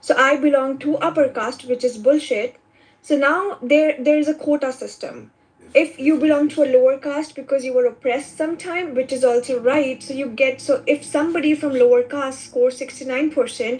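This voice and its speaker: With an Indian accent, the voice keeps a fairly even intonation. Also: woman, high pitch for a woman, moderate pace. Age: 20s. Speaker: immigrant student caller. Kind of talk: casual chat.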